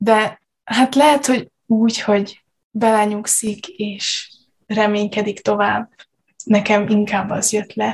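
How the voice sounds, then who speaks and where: A woman speaks very slowly at a fairly high pitch. Her voice is somewhat breathy, with fairly even intonation. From Subotica, Vojvodina, Serbia. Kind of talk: casual chat.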